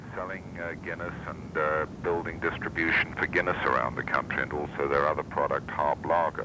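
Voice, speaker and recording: The speaker has a British accent and keeps a fairly quick pace with hardly any pauses. Noticeable background noise is present. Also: man. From England, London. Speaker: company president. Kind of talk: interview about his career. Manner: formal.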